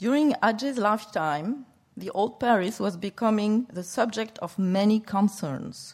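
A woman's somewhat breathy, fairly high voice in a French accent, with lively intonation and a fairly slow pace. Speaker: museum curator. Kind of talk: lecture. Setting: stage with audience. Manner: halting.

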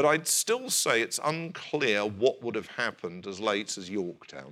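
With a British accent, a man speaks fairly slowly in a fairly low pitch, his bright, sharp tone marked by very wide pitch swings. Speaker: historian. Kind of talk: lecture; audience Q&A. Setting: stage with audience.

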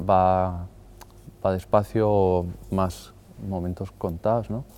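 The tone is dark and mellow, and the intonation stays monotone and flat. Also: man. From Madrid, Spain. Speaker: artist. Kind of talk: interview monologue. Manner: halting, with fillers.

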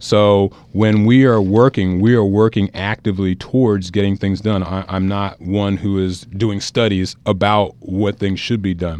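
This man talks at a fairly slow pace in an American accent, his intonation monotone and flat. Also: hardly any pauses. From New Jersey, US. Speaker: local political candidate. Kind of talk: radio interview. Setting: radio studio. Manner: halting, repeats words.

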